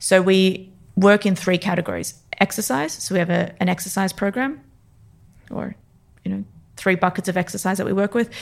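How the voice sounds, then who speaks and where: In an Australian accent, a woman with a medium pitch and vocal fry talks at a fairly quick pace, with fairly even intonation and long, frequent pauses. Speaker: neurophysiologist and performance coach. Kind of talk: interview.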